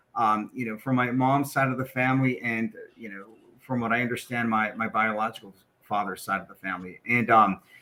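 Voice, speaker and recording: Delivered at a fairly quick pace in a Spanish accent, the voice is bright and sharp, with fairly even intonation and big swings in loudness. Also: man, medium pitch for a man. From western US, military moves. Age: 50s. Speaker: corporate equity executive. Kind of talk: podcast interview, personal story.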